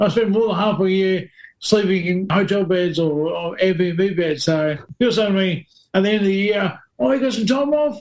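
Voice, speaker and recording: A man talks at a moderate pace with an Australian accent. His pitch variation is ordinary. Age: 40s. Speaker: stunt driver. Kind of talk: casual chat.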